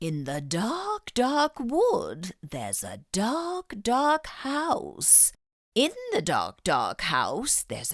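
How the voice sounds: A put-on character voice delivers the words at a very slow pace. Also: female-sounding voice, high pitch for a woman.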